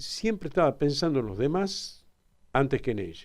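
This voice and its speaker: A man with a Tucumán accent talks with very wide pitch swings. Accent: Tucumán Argentine Spanish. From Argentina, Tucumán (Alderete). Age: 70s. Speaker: father of a crime victim, interviewee. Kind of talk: radio interview.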